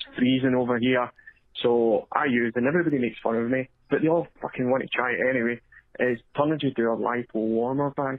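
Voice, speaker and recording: Very fast speech from a man with a Scottish accent, medium in pitch, with fairly even intonation. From Scotland. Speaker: caller leaving a voicemail, drone pilot. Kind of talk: voicemail message.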